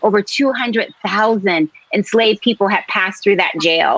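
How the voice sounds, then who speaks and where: A woman's unremarkable speaking voice with an American accent, fairly high in pitch, with ordinary pitch variation and a fairly slow pace, in a dry, close sound with no echo. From US Northeast, Philadelphia. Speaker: novelist. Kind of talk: interview.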